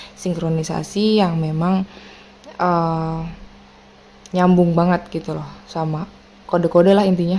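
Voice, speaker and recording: A woman speaks fairly slowly in a fairly low, monotone voice with flat intonation. Long pauses come often. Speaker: tarot reader. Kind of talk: tarot reading to viewers. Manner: casual, chatty.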